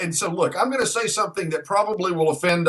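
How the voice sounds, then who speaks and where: A man's high voice carries lively intonation. Noticeable background noise is present. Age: 50s. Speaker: radio host. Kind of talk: radio interview host.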